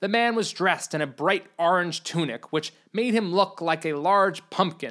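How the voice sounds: A natural reading voice comes through, its pitch rising and falling in an ordinary way.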